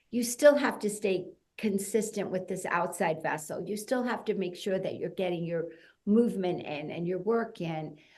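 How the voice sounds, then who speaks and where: Amid audible room echo, a woman speaks at a medium pitch and moderate pace with ordinary pitch variation. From US Northeast (New Jersey). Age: 60s. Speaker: fitness entrepreneur. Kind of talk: podcast interview. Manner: conversational, many fillers.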